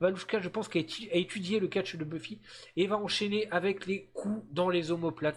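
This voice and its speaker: A man's high-pitched voice with ordinary pitch variation, at a moderate pace. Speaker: streamer and video game wrestling commentator. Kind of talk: live commentary. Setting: live stream. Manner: animated.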